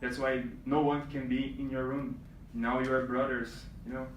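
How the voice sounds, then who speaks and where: A man with a Brazilian accent and a medium pitch, in audible room echo. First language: Portuguese. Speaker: reigning male pageant titleholder. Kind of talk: speech to pageant contestants. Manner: halting, many fillers.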